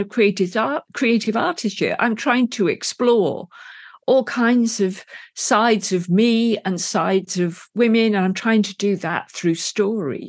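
With an English accent, a woman talks at a fairly high pitch with ordinary pitch variation. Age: 60s. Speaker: novelist and filmmaker. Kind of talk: interview.

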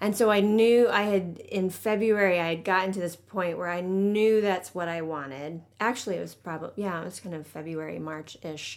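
A woman with a plain, everyday voice talks at a moderate pace and medium pitch, with hardly any pauses. Her pitch variation is ordinary, and her loudness swings widely. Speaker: culture director. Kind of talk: casual interview.

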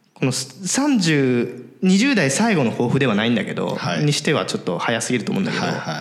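A man speaks at a fairly quick pace with hardly any pauses, his medium pitch swinging very widely. Noticeable background noise and audible room echo surround him. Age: 20s. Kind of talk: casual chat.

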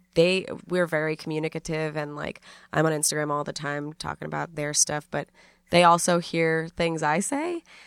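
In an American accent, the speaker uses monotone, flat intonation on a very clean recording with a silent background. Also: woman, very deep, low pitch for a woman, moderate pace, dry, close sound with no echo. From New York City. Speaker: comedian and podcaster. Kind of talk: casual interview chat.

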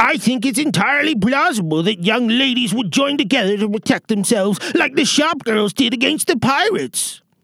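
Pitched extremely high, a man talks with hardly any pauses. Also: moderate pace. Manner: gushing, obsequious.

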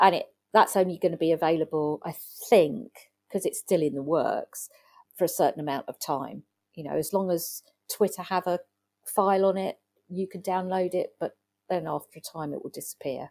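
A woman speaks with an English accent and big swings in loudness. The recording is very clean, with a silent background and a dry, close sound with no echo. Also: medium pitch for a woman, ordinary pitch variation, moderate pace. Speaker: digital consultant. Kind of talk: interview.

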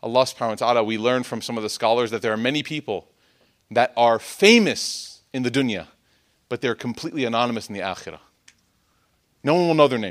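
A man with an American accent talks very fast at a medium pitch with ordinary pitch variation, leaving long, frequent pauses, on a very clean recording with a silent background. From US Midwest, Chicago. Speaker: Islamic speaker. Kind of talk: religious talk.

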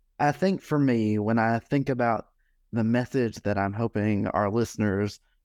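A man with an American accent has an unremarkable speaking voice and talks at a fairly slow pace with ordinary pitch variation. The sound is dry and close, with no echo. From US South, Alabama. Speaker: foundation executive director. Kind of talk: interview conversation.

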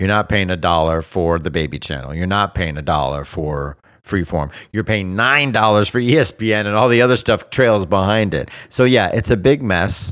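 In an American accent, a man speaks at a moderate pace and fairly low pitch in an animated tone with lively intonation, amid noticeable background noise. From South Florida. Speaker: entertainment podcast co-host. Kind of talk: casual chat.

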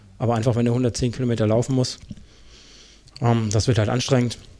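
At a fairly quick pace, a man talks. His intonation is flat and monotone. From Germany, Karlsruhe area. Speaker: trail runner and podcaster. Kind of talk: casual interview.

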